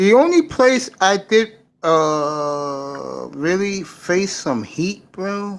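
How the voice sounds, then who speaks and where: In a New York accent, a man speaks at a very slow pace. His voice sits high in pitch, with lively intonation. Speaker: caller. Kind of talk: casual chat.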